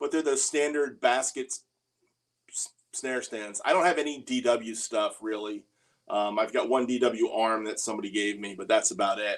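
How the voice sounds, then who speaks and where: A man at medium pitch talks at a moderate pace in a normal speaking voice, with ordinary pitch variation. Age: 60s. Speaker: drummer and livestream host. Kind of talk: casual livestream Q&A. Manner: casual, conversational with filler words.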